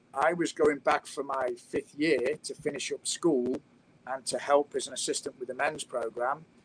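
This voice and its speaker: The recording sounds dry and close, without any echo. It's a man, and he has a British accent. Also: moderate pace. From England. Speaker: college soccer coach. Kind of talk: casual interview chat.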